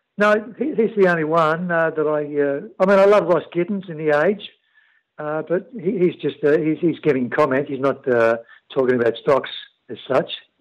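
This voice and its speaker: Moderate pace and a fairly high pitch from a man with an Australian accent, set against a quiet background. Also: lively intonation. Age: 50s. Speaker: emergency services worker. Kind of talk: interview. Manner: halting, many fillers.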